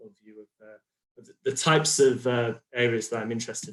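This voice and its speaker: A man with a British accent speaks with fairly even intonation. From United Kingdom. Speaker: health psychology researcher. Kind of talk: conference talk. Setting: video call. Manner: many fillers and hesitations.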